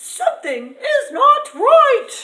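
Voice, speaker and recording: In a put-on character voice, a woman squeaks at an extremely high pitch with very wide pitch swings. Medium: read story. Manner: gentle, motherly.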